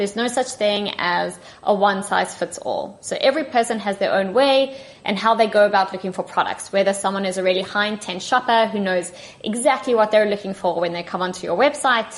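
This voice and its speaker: In a South African accent, a woman speaks at a fairly quick pace. Her medium-pitched voice has ordinary pitch variation. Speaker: tech partnership manager. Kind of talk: podcast interview. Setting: remote call.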